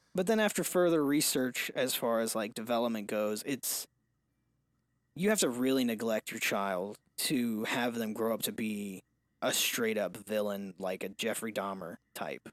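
A man with an unremarkable speaking voice talks at a fairly slow pace and ordinary pitch variation in a very clean recording with a silent background. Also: medium pitch for a man. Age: 20s. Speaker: podcast co-host, father. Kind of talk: casual chat.

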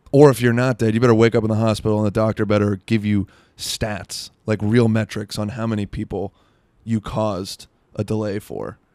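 In a very clean recording with a silent background and a dry, close sound with no echo, a man with an American accent speaks at a fairly quick pace in a fairly low pitch. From South Florida. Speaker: comedian podcast host. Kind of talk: casual chat. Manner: animated.

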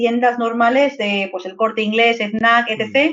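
A woman with a Madrid accent speaks at a high pitch with ordinary pitch variation. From Madrid, Spain (Vallecas). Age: 30s. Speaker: video game narrative teacher and author. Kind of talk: casual interview chat.

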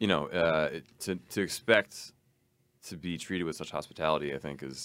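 A man's very deep, low voice with vocal fry and an American accent, at a fairly quick pace. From US Northeast, Long Island. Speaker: drummer and music teacher. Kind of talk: casual interview chat.

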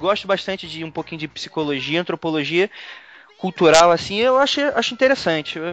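A man at a fairly quick pace with very wide pitch swings, noticeable background noise behind him. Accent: Carioca. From Rio de Janeiro. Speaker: podcast host. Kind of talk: casual chat.

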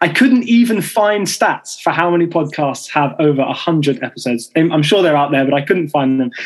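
Speaking with a British accent at a moderate pace, the voice runs on with hardly any pauses. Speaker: podcast host. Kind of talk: panel discussion moderation. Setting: recording studio.

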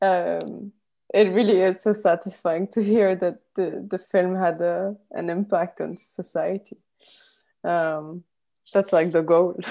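Over a quiet background, a woman speaks at a very slow pace with fairly even intonation. Her voice is dark and mellow, at a medium pitch. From Lebanon. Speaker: podcast host. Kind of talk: interview. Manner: halting.

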